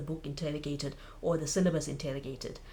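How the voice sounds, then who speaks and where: In a South African accent, a woman speaks at a fairly quick pace with a fairly low, somewhat breathy voice. Audible echo fills the room. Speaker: book vlogger. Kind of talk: casual vlog monologue.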